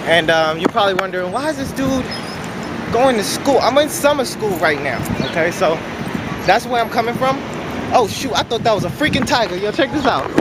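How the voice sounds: Lively intonation from a man with a high pitch at a fairly quick pace, clear background noise behind him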